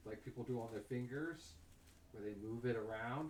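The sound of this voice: Heard here is an unforced reading voice with ordinary pitch variation.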